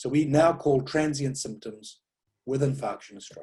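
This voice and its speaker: There is a dark, mellow tone to this man's voice, and it comes across somewhat breathy. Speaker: stroke neurologist. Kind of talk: lecture. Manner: fast.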